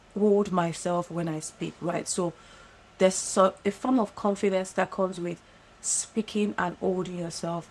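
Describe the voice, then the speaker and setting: Noticeable background noise sits behind a woman's voice. She speaks at a moderate pace and medium pitch with ordinary pitch variation. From African. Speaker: podcast host.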